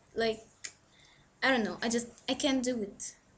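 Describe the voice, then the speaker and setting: Her voice high in pitch and her intonation fairly even, a woman speaks with an Egyptian accent. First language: Arabic. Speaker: book vlogger. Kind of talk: casual vlog monologue. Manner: hesitant, filler-heavy.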